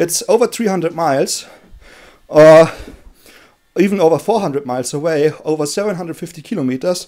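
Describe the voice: Long pauses come often. The tone is slightly mellow. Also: man, fairly high pitch for a man, ordinary pitch variation, moderate pace.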